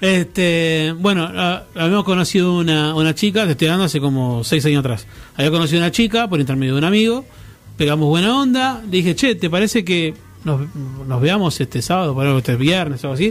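A man with a high pitch speaks at a fairly quick pace, with lively intonation and very even loudness. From Argentina. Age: 30s. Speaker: radio co-host. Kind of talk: casual chat.

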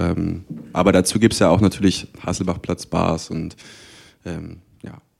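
Big swings in loudness mark this man's very deep, low voice, delivered in a flat monotone. He talks at a fairly slow pace with long, frequent pauses. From Magdeburg, Saxony-Anhalt, eastern Germany. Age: 20s. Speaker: student and cultural event organizer. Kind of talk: panel discussion. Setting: stage with audience.

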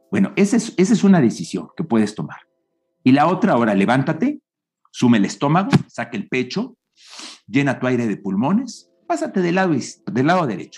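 A fairly high, vocal-fry male voice at a fairly quick pace, with very wide pitch swings, on a very clean recording with a silent background. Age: 60s. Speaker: public speaking coach. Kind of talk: interview.

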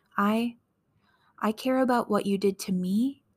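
A woman's calm, gentle, somewhat breathy voice at medium pitch, fairly slow and fairly even in intonation, with a dry, close sound and no echo. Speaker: podcast host reading wrestling promos. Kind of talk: whispered relaxation reading of a wrestling promo. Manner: soft, calm, gentle delivery of angry words; slow and sleepy, ASMR-like.

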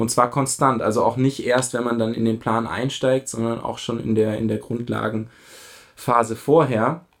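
Monotone and flat, a man at a medium pitch talks with hardly any pauses. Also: fairly slow pace. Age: 30s. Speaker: amateur runner. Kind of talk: casual chat.

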